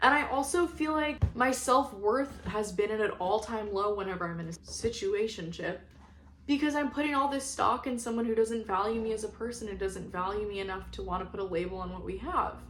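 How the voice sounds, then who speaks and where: A woman with a fairly high pitch and lively intonation at a fairly quick pace, with noticeable background noise and audible room echo. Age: 20s. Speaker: lifestyle vlogger. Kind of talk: personal reflection monologue. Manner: casual conversational.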